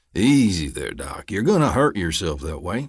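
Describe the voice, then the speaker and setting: A man does a put-on character voice in an Appalachian accent, rumbling at a fairly low pitch with very wide pitch swings. He keeps a moderate pace on a very clean recording with a silent background. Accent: Appalachian mountain dialect. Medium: read story. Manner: folksy, drawling, calmly threatening.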